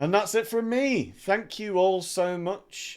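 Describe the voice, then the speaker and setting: A man speaks loudly in a high voice at a fairly slow pace, with lively intonation. Music plays in the background. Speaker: dungeon master and streamer. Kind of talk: casual chat.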